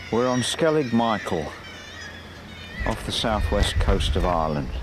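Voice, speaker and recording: With audible room echo and noticeable background noise, a man talks at a medium pitch and a fairly slow pace, with very wide pitch swings. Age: 70s. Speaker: painter. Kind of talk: documentary narration.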